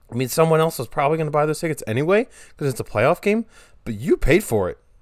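A loud, animated voice with very wide pitch swings on a very clean recording with a silent background. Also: man. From Delaware. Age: 20s. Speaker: podcast host, college student. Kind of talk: casual solo monologue. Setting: bedroom recording.

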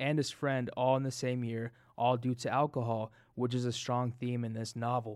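A man with an American accent speaks at a moderate pace and a medium pitch. His is an unremarkable speaking voice. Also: very clean recording, silent background. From US, Denver. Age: 20s. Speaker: podcast co-host. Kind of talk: casual chat.

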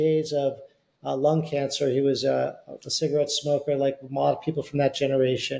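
Somewhat breathy, a man speaks at a fairly quick pace in a fairly high voice. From US Northeast. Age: 60s. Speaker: beverage company CEO and author. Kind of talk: casual interview chat.

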